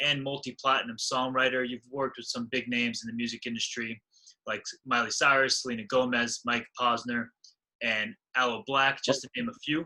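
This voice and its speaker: A man's medium-pitched, bright, sharp voice, fairly quick and monotone, with flat intonation. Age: 20s. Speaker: podcast host. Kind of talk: interview question.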